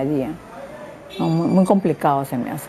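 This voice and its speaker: The speaker is a woman. Her voice sits at a very deep, low pitch. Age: 60s. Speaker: patient with insomnia. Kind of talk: testimony. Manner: halting.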